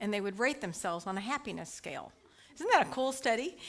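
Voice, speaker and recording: The voice carries a slight Texas accent. Its intonation is lively. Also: woman. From US, Dallas Texas. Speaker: licensed prayer practitioner and speaker. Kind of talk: spiritual talk to congregation. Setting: church service with live audience, also online. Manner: casual, conversational.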